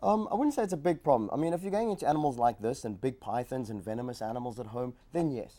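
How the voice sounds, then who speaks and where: With a South African accent, a man talks at a very fast pace with hardly any pauses, his dark, mellow tone carrying very wide pitch swings. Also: medium pitch for a man. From South Africa, Johannesburg. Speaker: reptile zoo educator. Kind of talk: TV talk show interview.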